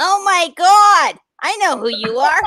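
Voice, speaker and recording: This is a put-on character voice with extremely high pitch. It moves at a fairly slow pace. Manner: put-on theatrical voice.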